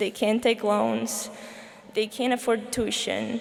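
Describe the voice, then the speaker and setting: A woman talks at a fairly slow pace. Noticeable background noise runs underneath. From Slovakia. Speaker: student commencement speaker. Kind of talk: commencement speech. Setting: stage with audience.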